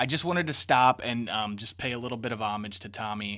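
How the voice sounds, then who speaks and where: Bright and sharp in tone, a man at medium pitch talks at a fairly quick pace. The recording is very clean, with a silent background. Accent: American. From southern Illinois. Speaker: podcast host. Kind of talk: casual interview chat.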